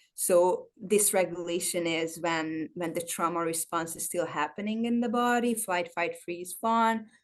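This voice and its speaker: A woman with a non-native accent and a fairly low pitch speaks at a fairly slow pace with ordinary pitch variation and hardly any pauses against a quiet background. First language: not English. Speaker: trauma-informed personal trainer. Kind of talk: interview. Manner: halting.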